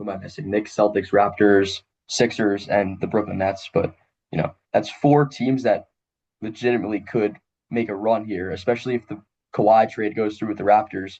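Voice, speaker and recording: An ordinary speaking voice from a man, fairly low in pitch, with fairly even intonation at a moderate pace. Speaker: podcast host, sports interviewer. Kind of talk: interview questions.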